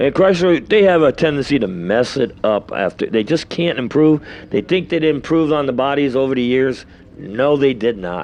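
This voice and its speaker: This man has a New York accent and a fairly high pitch. His intonation is lively, and his pace is moderate. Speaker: drag race announcer. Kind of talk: live commentary.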